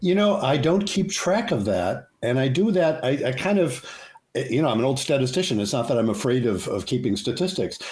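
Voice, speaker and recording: Delivered at a fairly quick pace, the voice makes very wide pitch swings while its loudness stays very even, with audible room echo around it. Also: man, medium pitch for a man. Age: 70s. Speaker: psychologist and couples therapist. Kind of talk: interview.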